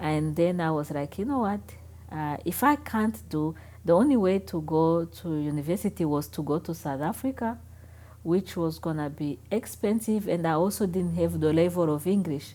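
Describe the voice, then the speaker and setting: A woman with a Rwandan accent at a moderate pace, on a very clean recording with a silent background. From Rwanda, later Namibia. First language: Kinyarwanda. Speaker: interviewee. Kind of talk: interview. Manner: halting.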